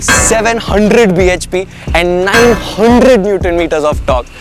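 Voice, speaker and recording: Over clear background music, a man speaks with ordinary pitch variation, the sound dry with no echo. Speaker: car reviewer. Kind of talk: car review presentation. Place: street.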